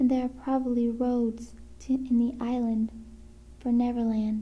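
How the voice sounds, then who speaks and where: A soft-spoken woman whispers at a very slow pace. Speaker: ASMR creator. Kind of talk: ASMR book reading. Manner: whispered, soft-spoken.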